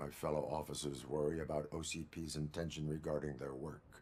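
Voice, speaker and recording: Over clear background noise, a man does a put-on character voice with very deep, low pitch, monotone, flat intonation and a fairly quick pace. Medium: video game. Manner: flat, terse, mechanical.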